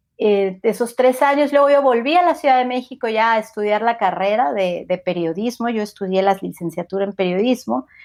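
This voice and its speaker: A woman talks at a fairly quick pace with hardly any pauses, her pitch fairly high and her intonation lively. The recording is very clean, with a silent background. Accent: Mexico City. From Mexico City. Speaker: podcaster. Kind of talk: interview conversation.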